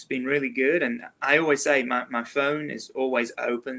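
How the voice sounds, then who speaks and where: A man with an English accent, fairly high-pitched, with a bright, sharp tone. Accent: English accent, picking up Southern words. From England. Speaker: realtor. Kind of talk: interview chat.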